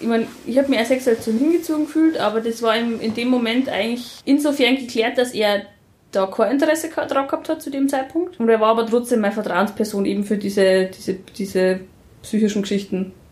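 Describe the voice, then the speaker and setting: With a normal speaking voice, a woman talks at a fairly quick pace, her pitch fairly high and her pitch variation ordinary. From rural Germany. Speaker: interviewee. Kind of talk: casual conversation. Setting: home.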